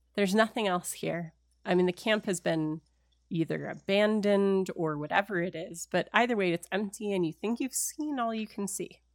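A woman with a plain, everyday voice speaks at medium pitch and a moderate pace with ordinary pitch variation, in a dry, close sound with no echo. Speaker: game master running a tabletop role-playing game. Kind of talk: tabletop role-playing game actual play, narrating and chatting. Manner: narrating, descriptive, conversational.

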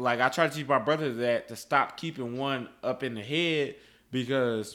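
Heard in a very clean recording with a silent background, a man is speaking. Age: 20s. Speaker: podcast co-host. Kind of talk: casual chat.

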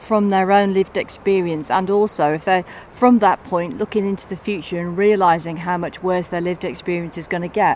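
Over noticeable background noise, a woman at medium pitch talks at a fairly quick pace with fairly even intonation and hardly any pauses. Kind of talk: casual chat. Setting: outdoors, walking on mountain paths.

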